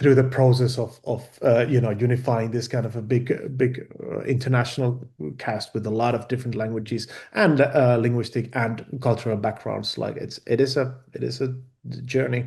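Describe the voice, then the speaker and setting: A man with a Finnish accent, medium-pitched, dark and mellow in tone with vocal fry, monotone and flat in intonation at a moderate pace. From Finland. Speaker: film director. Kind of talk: interview. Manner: halting, many repeated words and fillers.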